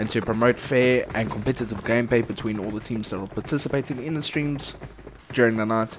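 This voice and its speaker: Noticeable background noise runs under a man's voice. He talks at a fairly quick pace in a medium pitch. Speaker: esports stream commentator. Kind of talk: live commentary. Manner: loud; animated.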